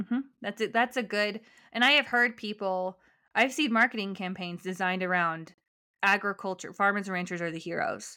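This woman has an American accent and a medium pitch. She talks at a fairly quick pace in a bright, sharp tone. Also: ordinary pitch variation, very clean recording, silent background. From US, Colorado (Denver suburbs). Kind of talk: casual interview chat.

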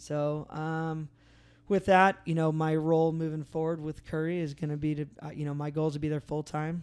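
In a very clean recording with a silent background, a man speaks at a moderate pace with a fairly high pitch and flat, monotone intonation. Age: 30s. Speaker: podcast host and off-road racer. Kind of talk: casual chat. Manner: hesitant, frequent filler words.

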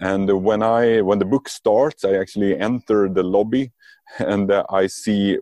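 With a Swedish accent, a man speaks in a fairly low pitch with a dark, mellow tone, the sound dry and close with no echo. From Sweden. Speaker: lean and agile coach, author. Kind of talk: interview.

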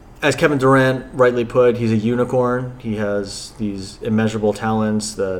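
With an American accent, a man speaks in a plain, everyday voice at a medium pitch and moderate pace, his intonation fairly even. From New Jersey. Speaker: sports fan guest. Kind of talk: casual chat.

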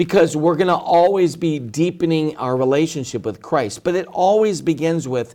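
An ordinary speaking voice: a man with a fairly high pitch and ordinary pitch variation talks at a moderate pace in a very clean recording with a silent background. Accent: American. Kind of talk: interview. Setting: studio.

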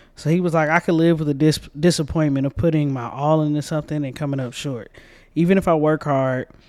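A normal speaking voice with an American accent, at a fairly quick pace, on a very clean recording with a silent background. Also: man. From US South, Georgia. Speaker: podcast co-host. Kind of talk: casual book review chat.

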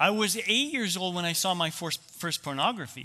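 A man talks at a moderate pace with a Canadian accent and a bright, sharp tone. The recording is very clean, with a silent background. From Canada. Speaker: ministry founder and speaker. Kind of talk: talk at a men's church gathering.

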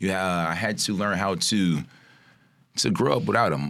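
Vocal fry in a man's voice, pitch varying in an ordinary way. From Chicago area, Maywood, Illinois. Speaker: entrepreneur. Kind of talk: casual chat.

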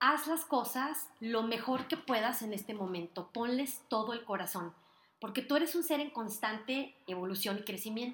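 A plain, everyday voice from a woman, moderately paced, its pitch fairly high and varying in an ordinary way. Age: 40s. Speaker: author and motivational speaker hosting a podcast. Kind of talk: motivational monologue. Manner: warm, upbeat.

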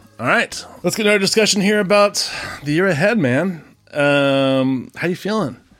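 A man's high-pitched voice at a moderate pace, lively in intonation, with music in the background. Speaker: independent filmmaker and podcast co-host. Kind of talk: casual chat. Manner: animated, eager.

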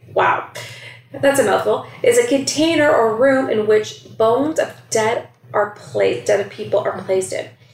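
Over noticeable background noise and audible room echo, a woman with a Canadian accent speaks at a fairly slow pace. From Scarborough, Toronto, Canada. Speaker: podcast co-host, educator. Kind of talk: casual chat.

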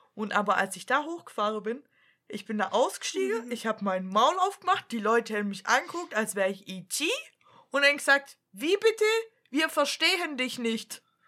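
A woman speaks with a Swabian accent at a moderate pace, her fairly high pitch making very wide swings. Her tone is bright and sharp. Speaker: podcast co-host. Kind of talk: casual chat.

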